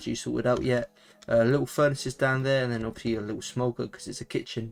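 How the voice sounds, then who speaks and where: With music in the background, a man with a British accent speaks at a very fast pace and a medium pitch. His intonation is fairly even, but his loudness swings widely. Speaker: gaming YouTuber. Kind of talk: gameplay commentary. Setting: at home while others sleep. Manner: quieter than usual; casual, hesitant with fillers.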